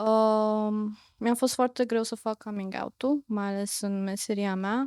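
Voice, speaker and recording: A woman with a plain, everyday voice, medium pitch, at a fairly slow pace, in a very clean recording with a silent background and a dry, close sound with no echo. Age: 30s. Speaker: psychotherapist. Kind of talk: interview.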